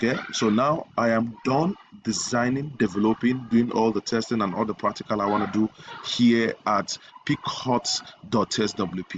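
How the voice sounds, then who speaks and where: The speech moves at a moderate pace with ordinary pitch variation. There is noticeable background noise. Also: man, medium pitch for a man. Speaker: web design tutor. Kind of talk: tutorial.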